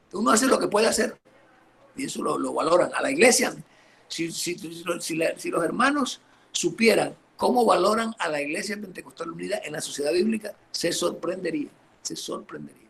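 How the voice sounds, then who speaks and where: Over noticeable background noise, a man with a high pitch speaks fairly quickly with lively intonation. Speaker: pastor. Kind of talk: interview on church history.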